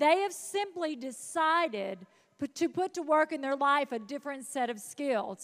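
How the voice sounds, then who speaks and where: A woman with a Southern accent sounds animated, her high-pitched voice carrying lively intonation. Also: moderate pace. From US South, North Mississippi. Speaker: motivational speaker. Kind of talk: motivational speech. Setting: stage with audience.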